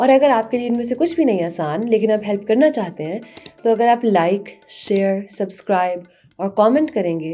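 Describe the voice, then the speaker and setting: With music in the background, a woman speaks at a moderate pace and medium pitch, her voice making very wide pitch swings. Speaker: history YouTuber. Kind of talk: educational history talk to camera. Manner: conversational.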